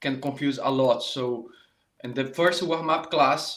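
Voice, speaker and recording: A man speaks at a fairly slow pace, his fairly high voice keeping a fairly even intonation. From Brazil, Rio de Janeiro. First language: Portuguese. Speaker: saxophone teacher. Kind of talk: live online masterclass. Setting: live stream. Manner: halting, many fillers and restarts.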